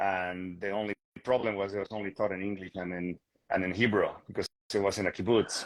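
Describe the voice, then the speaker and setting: A man with a Bolivian accent, fairly low-pitched, in a flat monotone at a fairly quick pace, with a dry, close sound and no echo. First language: Spanish. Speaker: real estate agent. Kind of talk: interview conversation. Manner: hesitant, many fillers and repetitions.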